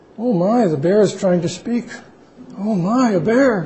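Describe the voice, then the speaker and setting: A man in a put-on character voice, high in pitch, at a moderate pace. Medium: read story.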